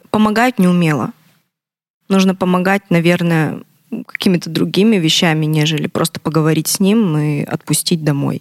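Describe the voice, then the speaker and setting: A woman with a fairly low voice keeps a moderate pace, her pitch varying in an ordinary way. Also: long, frequent pauses. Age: 20s. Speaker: abuse survivor sharing her story. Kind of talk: testimony.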